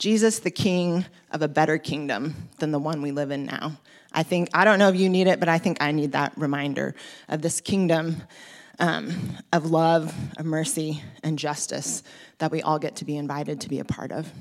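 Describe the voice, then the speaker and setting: With an American accent, a woman talks at a moderate pace in a very deep, low pitch and fairly even intonation. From US West Coast (Oregon). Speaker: preacher. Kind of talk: sermon. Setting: church.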